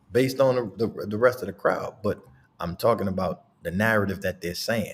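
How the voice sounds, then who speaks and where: A man's somewhat breathy voice at a moderate pace. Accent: American. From US South, New Orleans. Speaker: podcast host. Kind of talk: casual chat.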